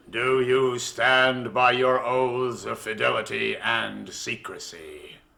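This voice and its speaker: A man puts on a menacing character voice at a medium pitch. He talks at a fairly slow pace with hardly any pauses. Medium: audio drama. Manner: commanding, menacing.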